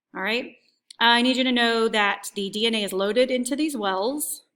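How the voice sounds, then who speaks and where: Her voice is fairly high, with a bright, sharp tone and ordinary pitch variation. The woman is heard on a very clean recording with a silent background. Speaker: high school biology teacher. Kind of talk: recorded review lecture. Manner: fast.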